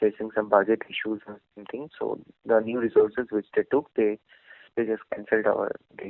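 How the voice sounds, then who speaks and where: Soft-spoken, a man talks at a fairly quick pace with big swings in loudness. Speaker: job candidate, fresh graduate. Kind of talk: job interview. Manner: halting. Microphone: too quiet.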